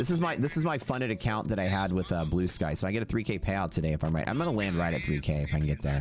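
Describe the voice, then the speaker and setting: The man has an American accent and a very deep, low pitch. He talks at a very fast pace. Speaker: day trader streamer. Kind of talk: live stream commentary.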